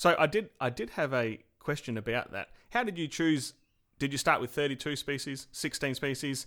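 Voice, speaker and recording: With a bright, sharp tone and a fairly high pitch, a man talks at a moderate pace with ordinary pitch variation on a very clean recording with a silent background. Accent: Australian. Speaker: podcast host. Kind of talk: casual interview.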